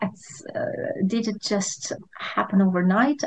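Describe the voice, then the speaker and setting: Behind the speaker, the background stays quiet. Her voice, a woman's, is somewhat breathy. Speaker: podcast host. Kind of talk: interview. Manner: halting, hesitant.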